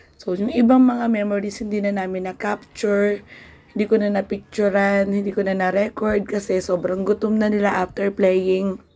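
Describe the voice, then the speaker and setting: A woman speaks at a medium pitch with a dark, mellow tone. Her intonation is monotone and flat, and her pace is moderate. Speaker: vlogger and small business owner. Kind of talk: casual vlog talk. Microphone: no microphone, voice hard to hear.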